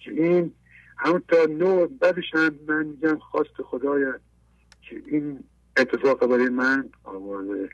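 Fairly high in pitch, a man speaks at a fairly slow pace with lively intonation. His loudness swings a lot, and his pauses are long and frequent. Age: 50s.

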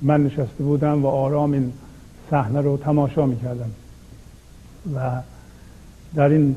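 Using a monotone, flat intonation, a man with a fairly high pitch talks at a moderate pace. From Iranian Azerbaijan. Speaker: spiritual teacher. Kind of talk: talk on poetry and spirituality.

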